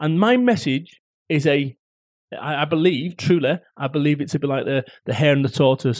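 The sound is dry and close with no echo as a man with a Mancunian accent talks in a fairly high pitch. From northern England, Salford, Manchester. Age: 40s. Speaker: motivational speaker and entrepreneur. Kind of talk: interview. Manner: animated, blunt.

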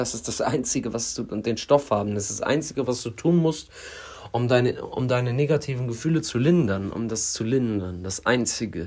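Somewhat breathy speech moves at a moderate pace, its pitch varying in an ordinary way. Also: man, medium pitch for a man. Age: 20s. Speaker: podcaster in addiction recovery. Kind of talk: personal monologue.

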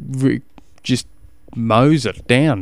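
A man with an Australian accent speaks with ordinary pitch variation on a very clean recording with a silent background. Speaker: cycling coach podcast host. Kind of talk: casual solo podcast advice.

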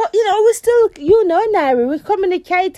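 A woman's extremely high pitch with a dark, mellow tone, lively intonation and a fairly quick pace

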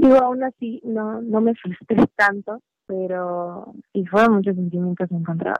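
This is an ordinary speaking voice at a fairly slow pace with ordinary pitch variation. The sound is dry and close, with no echo. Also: woman, medium pitch for a woman. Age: 20s. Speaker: musician and hairstylist. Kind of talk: casual interview.

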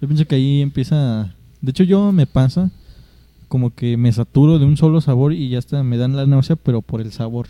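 A normal speaking voice with ordinary pitch variation at a fairly quick pace. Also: man, fairly high pitch for a man. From Mexico. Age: 20s. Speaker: podcast host. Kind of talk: casual chat.

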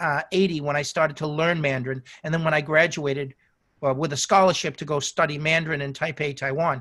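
With an American accent, this man speaks. His delivery comes very quickly. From United States. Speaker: wireless market specialist. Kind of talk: interview conversation. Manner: halting, repeats words.

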